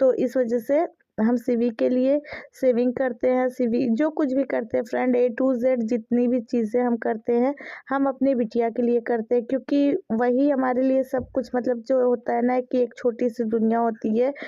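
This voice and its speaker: Over a quiet background, a woman speaks fairly slowly at a high pitch in a dark, mellow tone, her intonation monotone and flat and her loudness very even. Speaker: family vlogger. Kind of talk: casual vlog talk.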